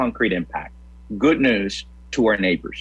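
There is vocal fry in this man's voice, and his intonation is lively. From Puerto Rico. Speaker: pastor. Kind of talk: interview.

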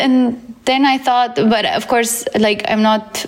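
With a Romanian accent, a woman talks at a fairly slow pace with ordinary pitch variation. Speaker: data science teacher and career coach. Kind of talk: interview. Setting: at home.

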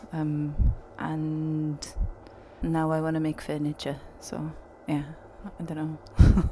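A woman with a very deep, low pitch speaks in a Welsh accent with monotone, flat intonation at a very slow pace. Long, frequent pauses break up her speech over noticeable background noise. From Wales. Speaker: musician. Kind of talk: casual interview.

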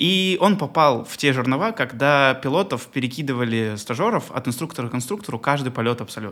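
The delivery is fairly quick with hardly any pauses and lively intonation. It is an unremarkable speaking voice. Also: man, medium pitch for a man. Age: 20s. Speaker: airline pilot and podcast host. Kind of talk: casual interview chat.

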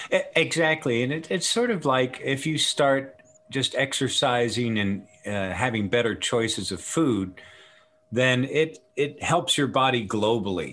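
This man has a normal speaking voice at a medium pitch. He talks at a fairly slow pace with lively intonation. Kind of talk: interview with product pitch.

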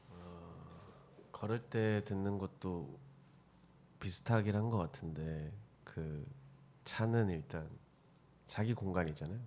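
A soft-spoken man at a very slow pace with long, frequent pauses, a dark, mellow tone, fairly low pitch, ordinary pitch variation and big swings in loudness. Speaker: film and video worker. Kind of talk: casual chat. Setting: studio. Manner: halting.

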